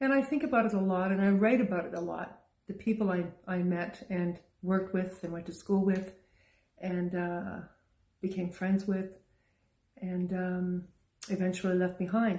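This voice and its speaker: Somewhat breathy and dark, mellow in tone, a woman speaks at a medium pitch and moderate pace with fairly even intonation and long, frequent pauses. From Canada. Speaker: poet. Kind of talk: casual talk to camera.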